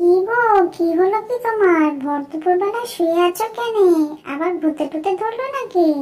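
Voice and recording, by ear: A woman does a cartoonish character voice at an extremely high pitch, with lively intonation and a moderate pace. Faint music plays in the background.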